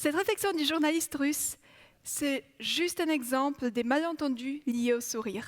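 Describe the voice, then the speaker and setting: Fairly slow, high-pitched speech from a woman. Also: ordinary pitch variation. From Poland. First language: Polish (speaking French). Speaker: psychology researcher. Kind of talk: TEDx talk.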